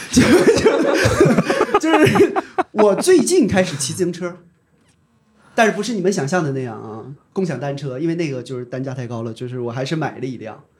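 A man's somewhat breathy voice at a moderate pace, with big swings in loudness. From Dandong, Liaoning, northeast China. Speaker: ride-hailing company employee. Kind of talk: casual chat.

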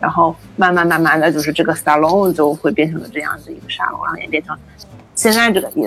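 Over background music, a woman with a fairly low pitch speaks at a very fast pace with ordinary pitch variation. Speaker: food science graduate student. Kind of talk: interview conversation.

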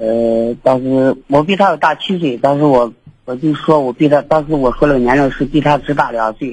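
A man's ordinary speaking voice, fairly high in pitch, with ordinary pitch variation at a moderate pace. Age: 30s. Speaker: radio call-in listener. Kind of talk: casual chat.

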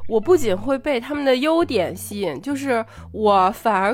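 A woman speaks at a moderate pace with very wide pitch swings. Noticeable background noise runs underneath. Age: 30s. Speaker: podcast co-host. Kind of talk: casual chat.

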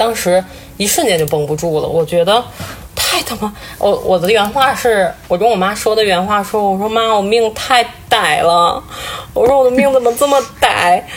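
Over noticeable background noise, a woman with a fairly high voice speaks at a moderate pace with lively intonation. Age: 30s. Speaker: breast cancer survivor. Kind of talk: casual chat. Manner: crying.

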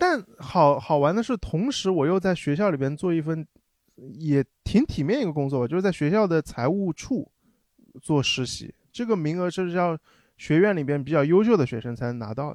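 Over a quiet background, a man talks at a moderate pace in a fairly high pitch. He has a normal speaking voice. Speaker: former overseas student. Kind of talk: casual chat.

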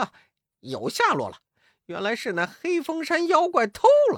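In a put-on character voice with a fairly bright tone, the speaker swings very widely in pitch at a moderate pace, recorded dry and close with no echo and a very clean, silent background.

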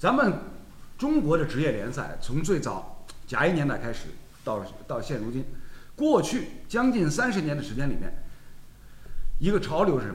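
A man with a fairly high voice and vocal fry talks at a moderate pace, his pitch swinging very widely, with long, frequent pauses and audible echo in the room. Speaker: football talk show host. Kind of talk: casual chat.

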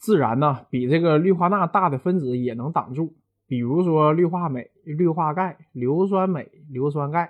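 An animated man with a Northeastern Chinese accent talks at a fairly slow pace, his fairly high pitch moving with ordinary variation. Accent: Northeastern Mandarin. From Northeast China. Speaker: university lecturer. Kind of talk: popular science talk.

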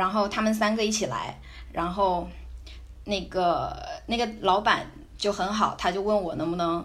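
A woman speaks fairly slowly at a medium pitch, with vocal fry. Room echo can be heard. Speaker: backpacker and student abroad. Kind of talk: casual interview chat.

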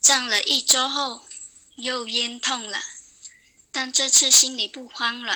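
The speaker uses a raised, projected voice at a very slow pace, with long, frequent pauses, fairly even intonation and big swings in loudness. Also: woman, high pitch for a woman. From Guangdong, China. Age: 20s. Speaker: radio listener sharing experience. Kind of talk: prepared testimony read aloud.

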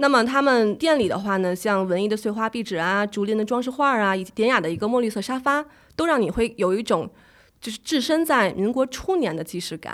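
In a very clean recording with a silent background, a woman talks at a fairly quick pace in an unremarkable speaking voice. Her pitch is fairly high and her intonation lively. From Beijing. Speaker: travel and food blogger. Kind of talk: casual interview.

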